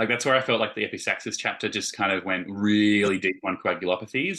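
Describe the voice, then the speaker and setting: A man with a bright, sharp tone and fairly low pitch talks very fast against a quiet background. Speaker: vet educator. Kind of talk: teaching discussion. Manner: mumbling.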